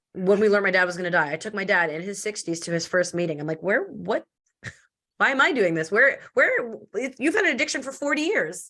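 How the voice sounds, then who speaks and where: A woman talks loudly and very fast at a medium pitch, with very wide pitch swings. Her tone is bright, sharp and animated. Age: 30s. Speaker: entrepreneur and podcast guest. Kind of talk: casual interview chat. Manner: fast, animated.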